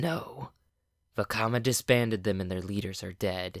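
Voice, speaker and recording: Using a raspy, put-on character voice, a man speaks at a moderate pace and a fairly low pitch with ordinary pitch variation, in a very clean recording with a silent background. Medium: read story.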